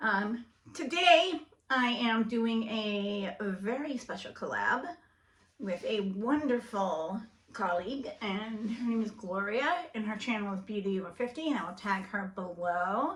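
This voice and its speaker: Noticeable background noise sits behind this woman's fairly high voice. She speaks at a fairly slow pace with lively intonation. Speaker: beauty YouTuber. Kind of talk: makeup tutorial. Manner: mumbling.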